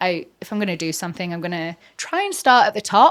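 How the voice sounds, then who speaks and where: A woman speaks with an English accent. Her pitch is medium. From England. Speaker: realtor and reality TV personality. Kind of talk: interview podcast.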